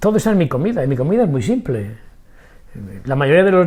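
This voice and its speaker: Somewhat breathy speech rushes by at a very fast pace. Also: man. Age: 80s+. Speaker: macrobiotics doctor. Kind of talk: interview. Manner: energetic.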